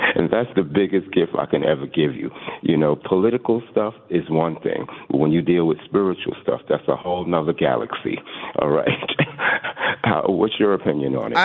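There is noticeable background noise behind a man with a very deep, low pitch. He speaks at a moderate pace with lively intonation. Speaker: radio call-in caller. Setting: phone.

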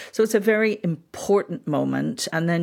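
A woman speaks with a Northern Irish accent in a very clean recording with a silent background. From Northern Ireland (Belfast). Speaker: historian. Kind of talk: interview.

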